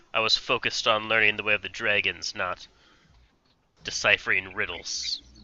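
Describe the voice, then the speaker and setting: Using a put-on character voice, a man talks at a moderate pace with monotone, flat intonation and long, frequent pauses. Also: fairly low pitch for a man. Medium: actual play.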